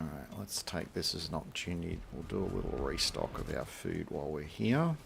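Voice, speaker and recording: This man has a very deep, low pitch and an Australian accent. His tone is relaxed, his pace fairly quick, and his pitch variation ordinary. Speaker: gaming streamer. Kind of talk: casual gameplay commentary. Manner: relaxed, filler-heavy.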